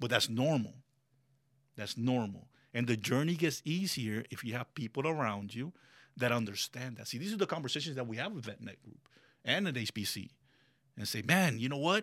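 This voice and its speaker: A man of medium pitch talks at a fairly quick pace with lively intonation, stopping for long, frequent pauses. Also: big swings in loudness. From Colombia, raised in Miami. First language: Spanish. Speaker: business owner and military veteran. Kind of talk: casual interview chat. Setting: studio. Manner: animated.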